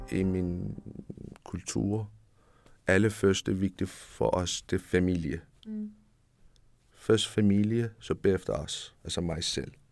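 In a Persian accent, a man talks with a very deep, low pitch and fairly even intonation. His pace is very slow, broken by long, frequent pauses. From Iran. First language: Persian (speaking Danish). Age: 30s. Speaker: refugee, home care worker. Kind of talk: interview. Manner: halting.

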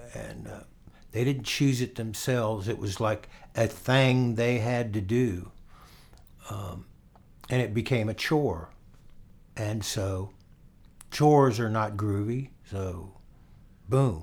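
Pausing long and often, a man speaks at a medium pitch and a very slow pace. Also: ordinary pitch variation. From Florida. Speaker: guitarist and songwriter. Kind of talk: casual interview. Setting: at home.

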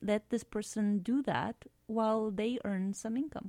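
A woman's dark, mellow voice at medium pitch and moderate pace, dry and close with no echo, in a very clean recording with a silent background. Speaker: app founder and physician. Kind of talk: casual interview chat. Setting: radio studio.

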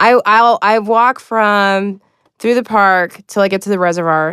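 A woman's plain, everyday voice, medium in pitch, with an American accent, ordinary pitch variation and a moderate pace against a quiet background. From Chicago, US Midwest. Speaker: stand-up comedian. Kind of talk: casual chat.

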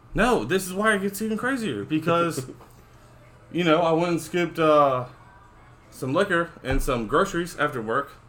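Music plays behind a man whose high pitch and lively intonation come at a moderate pace, broken by long, frequent pauses. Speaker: co-host, sports fan. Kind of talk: casual sports podcast chat. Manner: loud, animated.

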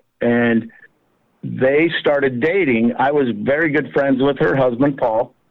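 A man with an American accent and an ordinary speaking voice talks at a fairly slow pace, with a medium pitch, ordinary pitch variation and very even loudness. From Colorado, US. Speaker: small business owner, fly tying tool maker. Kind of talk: casual interview.

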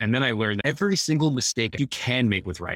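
On a very clean recording with a silent background, a man talks very fast. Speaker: author. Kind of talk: casual interview chat.

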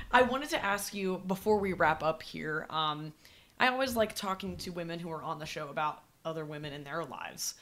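A woman with an American accent and a normal speaking voice talks at a fairly quick pace with lively intonation. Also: fairly low pitch for a woman, big swings in loudness. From West Virginia. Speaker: podcast host. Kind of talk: scripted narration; interview.

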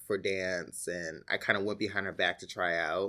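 A fairly low-pitched man with a New York accent and a bright, sharp tone, in a very clean recording with a silent background. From New York City, the Bronx. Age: 30s. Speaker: actor. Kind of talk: oral history interview. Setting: library office.

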